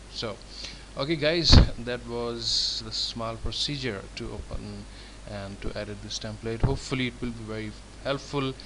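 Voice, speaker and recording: Amid noticeable background noise and audible room echo, a man with a non-native accent speaks at a moderate pace, with big swings in loudness. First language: not English. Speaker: template designer. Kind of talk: tutorial. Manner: halting.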